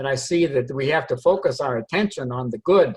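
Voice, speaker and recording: His pace is moderate. The man's voice carries a somewhat breathy quality. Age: 80s+. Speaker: long-time group member. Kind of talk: group discussion comment.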